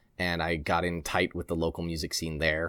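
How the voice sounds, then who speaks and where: A man with an American accent speaks at a very deep, low pitch in a flat monotone. The recording is very clean, with a silent background. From New Jersey and Poconos, Pennsylvania. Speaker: AR photographer, former band tour photographer. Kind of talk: casual podcast interview.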